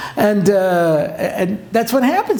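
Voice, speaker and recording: A man speaks with a high pitch and lively intonation. Audible room echo and noticeable background noise come through as well. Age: 60s. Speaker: rabbi and lecturer. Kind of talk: lecture. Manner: animated.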